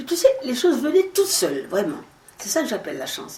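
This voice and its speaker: A woman talks at a moderate pace. Her pitch swings very widely, and there is noticeable background noise. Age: 80s+. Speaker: actress and singer. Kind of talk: interview answer. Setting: at home. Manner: conversational, relaxed.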